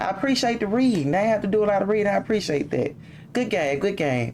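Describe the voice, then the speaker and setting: Over music in the background, a woman's voice moves through very wide pitch swings. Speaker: gaming youtuber. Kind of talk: gameplay commentary.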